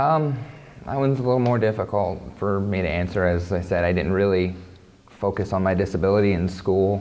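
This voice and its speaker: In a Midwestern US accent, a man speaks fairly quickly with very even loudness and ordinary pitch variation, and audible room echo is present. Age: 30s. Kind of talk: interview testimony. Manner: halting, repeats words.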